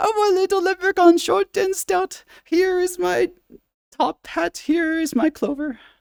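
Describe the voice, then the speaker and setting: A man's put-on character voice in falsetto, extremely high-pitched and fairly slow, with an Irish accent. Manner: playful.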